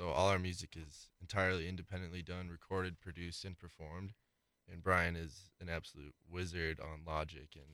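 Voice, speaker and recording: With an American accent, a man speaks at a fairly quick pace in a very deep, low pitch, his bright, sharp tone carrying fairly even intonation and big swings in loudness over a very clean recording with a silent background. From Wisconsin, Milwaukee. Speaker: rock band musician. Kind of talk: casual interview chat.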